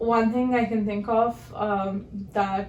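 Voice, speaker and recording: In a room with audible echo, a woman with a Telugu accent speaks very slowly at a medium pitch, her intonation monotone and flat. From southern India. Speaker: podcast co-host. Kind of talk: casual chat.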